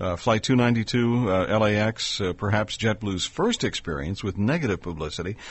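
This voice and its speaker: A man with an ordinary speaking voice talks at a fairly low pitch and a moderate pace. He uses ordinary pitch variation and hardly any pauses. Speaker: radio host. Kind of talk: radio interview.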